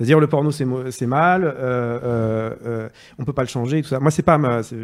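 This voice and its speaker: Using an unremarkable speaking voice, a man talks at a fairly quick pace in a medium pitch with ordinary pitch variation. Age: 30s. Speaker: journalist. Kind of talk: casual chat.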